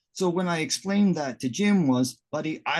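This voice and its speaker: A high-pitched man with a Canadian accent and lively intonation, set against a quiet background. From Canada. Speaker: interviewer. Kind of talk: casual chat.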